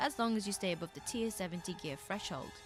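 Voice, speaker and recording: Music plays in the background as a woman speaks at a very fast pace. She has a British accent and lively intonation. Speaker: video game guide maker. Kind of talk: game tutorial narration.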